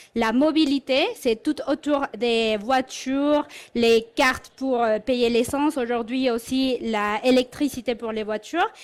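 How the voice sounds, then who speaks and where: Very slowly and with fairly even intonation, a woman with a slight Mexican accent speaks in a high pitch on a very clean recording with a silent background. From Mexico. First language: Spanish (speaking French). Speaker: corporate learning and development head. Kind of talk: conference talk.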